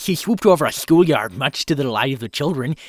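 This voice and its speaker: This is a man doing a put-on character voice. It sounds nasal and fairly high in pitch. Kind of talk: fan fiction reading with improvised voices.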